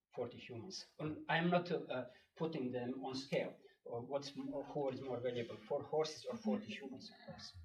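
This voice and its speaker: With a European accent, a man speaks at a fairly high pitch and moderate pace, using lively intonation and big swings in loudness. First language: not English. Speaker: local resident speaking at public hearing. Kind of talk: public comment. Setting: town board meeting room. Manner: halting.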